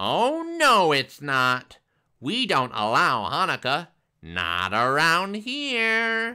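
A put-on character voice at middle pitch comes out squeaky and very slow, recorded very cleanly against a silent background. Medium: read story.

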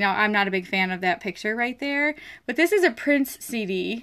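The background stays quiet. A woman is the one talking. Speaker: online reseller. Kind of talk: casual livestream tutorial. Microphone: phone near.

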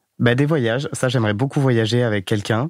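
Medium-pitched male voice with fairly even intonation. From France, Corrèze (rural). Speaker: dating podcast guest. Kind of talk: casual interview. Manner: hesitant, many fillers.

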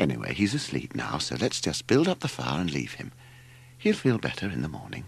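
A man puts on a character voice with vocal fry, an extremely low pitch, very wide pitch swings and a fairly quick pace.

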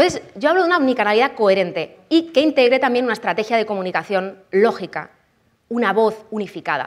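In a quiet background, a woman talks at a very fast pace in an animated tone, her fairly high pitch making very wide swings. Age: 30s. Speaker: copywriting expert and conference speaker; conference speaker. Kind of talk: conference talk. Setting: stage with audience. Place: hall.

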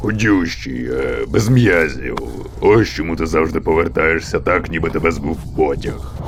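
Through loud background noise, a man uses a put-on character voice, very deep and low, at a moderate pace. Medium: fan dub. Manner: terse, dry.

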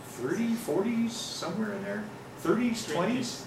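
The voice carries an American accent, with audible room echo and noticeable background noise. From US Pacific Northwest, Seattle. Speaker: nature photographer and travel speaker. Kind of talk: slide-show talk to an audience. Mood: enthusiastic, informal. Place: meeting room. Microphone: camera far.

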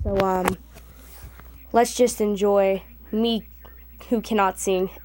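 Fairly even intonation from a female speaker. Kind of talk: casual vlog chat. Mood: self-deprecating, giggly.

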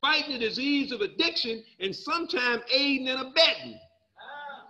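In a raised, projected voice, a man speaks at an extremely high pitch and a moderate pace, with a bright, sharp, animated tone, lively intonation and a quiet background. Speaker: recovery speaker. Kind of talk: personal testimony.

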